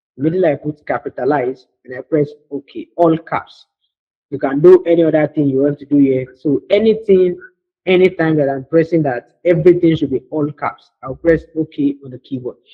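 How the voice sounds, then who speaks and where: A fairly high-pitched male voice with ordinary pitch variation, moving at a fairly quick pace. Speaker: computer skills instructor. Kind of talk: live online tutorial. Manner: fast.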